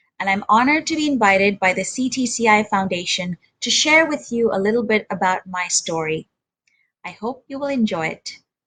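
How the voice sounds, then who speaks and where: Speaking with a Sindhi accent, a woman talks at a fairly quick pace with lively intonation and a bright, sharp tone. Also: fairly high pitch for a woman. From India, grew up partly in Germany and Nigeria. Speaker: interpreter. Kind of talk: presentation talk.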